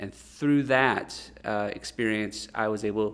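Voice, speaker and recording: A man speaks at medium pitch. He has a Midwestern accent. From US Midwest / South (St. Louis, Memphis, Northern Virginia). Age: 30s. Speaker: musician and church planter. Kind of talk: interview. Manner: halting, many fillers.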